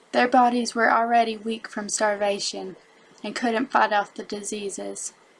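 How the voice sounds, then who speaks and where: The delivery is monotone and flat, at a fairly slow pace. It carries a strong Southern US accent. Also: woman. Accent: thick Southern American. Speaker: elementary school teacher. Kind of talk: educational narration.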